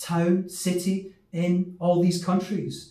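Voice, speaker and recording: A man with a Glaswegian accent speaks in a high pitch amid audible room echo. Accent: light West of Scotland (Glaswegian). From Scotland, Glasgow. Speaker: English teacher. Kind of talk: lesson for children.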